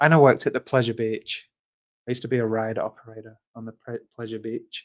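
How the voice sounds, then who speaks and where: A man in a British accent at a very fast pace, medium pitch and big swings in loudness, in a dry, close sound with no echo. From northern England, Fleetwood near Blackpool. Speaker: animal rights activist. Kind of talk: casual chat. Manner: halting.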